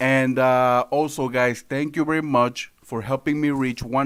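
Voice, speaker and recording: The recording is very clean, with a silent background. A man talks at a moderate pace with a medium pitch and fairly even intonation. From Miami, Florida. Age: 20s. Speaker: political livestreamer. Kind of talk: live stream commentary. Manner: casual, hesitant with many fillers.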